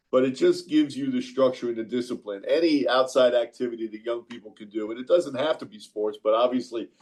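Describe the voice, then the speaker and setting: With a New York accent, a man talks at a fairly quick pace using fairly even intonation. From New York (Queens). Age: 60s. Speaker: college basketball coach. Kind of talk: radio interview.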